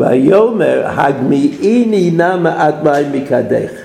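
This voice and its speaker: Over noticeable background noise, a man talks very slowly. The room echo is audible. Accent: Brooklyn. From US, Brooklyn. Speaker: Torah teacher. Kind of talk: lecture.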